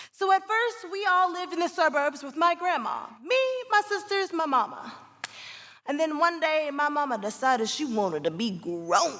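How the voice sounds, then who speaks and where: A woman's extremely high voice at a moderate pace, with very wide pitch swings. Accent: Southern US. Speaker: stage actress. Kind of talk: live theatrical storytelling monologue. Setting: live theatre with audience reactions.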